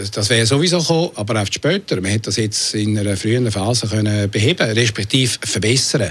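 Speech comes at a very fast pace with hardly any pauses and ordinary pitch variation. Noticeable background noise sits behind it. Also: man, fairly low pitch for a man. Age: 60s. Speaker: city councillor. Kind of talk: radio interview. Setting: studio.

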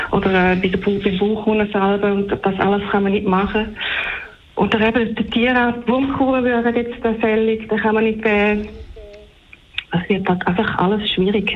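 In a room with audible echo and noticeable background noise, a woman with a fairly high voice speaks at a moderate pace in a flat monotone, her loudness very even. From Switzerland, near the German border. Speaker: caller, horse owner. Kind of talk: radio call-in.

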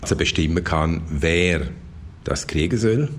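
Over audible room echo, a man talks very slowly with lively intonation. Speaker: insurance and consumer expert. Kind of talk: radio interview.

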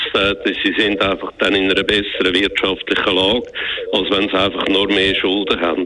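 Noticeable background noise sits behind a man speaking at a moderate pace with a fairly low pitch, very even loudness and a monotone, flat intonation. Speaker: economist, former central banker. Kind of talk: radio interview. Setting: phone call.

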